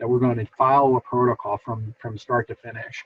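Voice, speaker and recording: Somewhat breathy, a man speaks at a fairly quick pace. His pitch sits in the medium range. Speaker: behavior analyst presenter. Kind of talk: lecture. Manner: fast; hesitant fillers.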